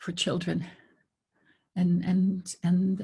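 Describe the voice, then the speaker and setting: A woman's somewhat breathy voice, medium in pitch, carries a dark, mellow tone. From northwest Saskatchewan, Canada. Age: 80s+. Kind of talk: panel discussion. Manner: halting, many repetitions.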